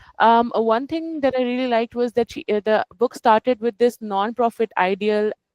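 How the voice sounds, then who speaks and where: A woman with a non-native accent, recorded with a dry, close sound and no echo. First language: not English. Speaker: book club participant. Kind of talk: casual discussion. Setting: video call. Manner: halting.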